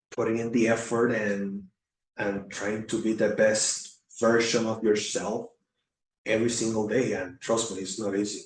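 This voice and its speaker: A man with a Puerto Rican accent, medium pitch, flat monotone delivery at a moderate pace. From Puerto Rico. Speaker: former Navy recruiter, veteran. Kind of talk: casual chat. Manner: halting, many fillers and repetitions.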